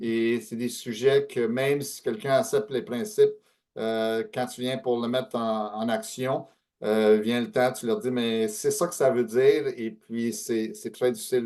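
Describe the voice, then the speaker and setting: Here a man speaks at medium pitch with a dark, mellow tone. His pace is fairly slow, and his pitch varies in an ordinary way. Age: 60s. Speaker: author and speaker on aging and estate planning. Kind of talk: webinar talk. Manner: hesitant, many fillers.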